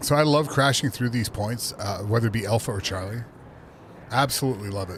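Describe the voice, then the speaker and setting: Keeping a fairly quick pace, this man holds a medium pitch with ordinary pitch variation. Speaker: video game streamer. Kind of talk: live gameplay commentary. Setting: home office. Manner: soft-spoken.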